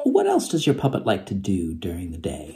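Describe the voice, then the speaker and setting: There is a man talking. Some light noise sits in the background. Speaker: presenter. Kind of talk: playful puppet play and questions to children. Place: home room. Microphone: phone near.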